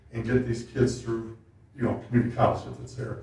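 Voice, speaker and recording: Over noticeable background noise and audible room echo, a man talks at a fairly quick pace in a medium pitch. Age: 60s. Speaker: township resident at public meeting. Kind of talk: public meeting comment. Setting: township board meeting.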